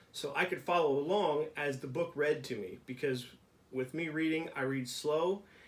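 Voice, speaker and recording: This is a man with a plain, everyday voice and a fairly high pitch. He speaks at a moderate pace. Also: ordinary pitch variation. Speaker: vlogger with brain injury. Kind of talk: casual talk to camera.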